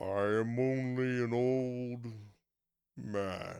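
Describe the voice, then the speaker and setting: Putting on a character voice, a man speaks at a medium pitch with fairly even intonation. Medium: read story. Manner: stammering, hesitant, pathetic.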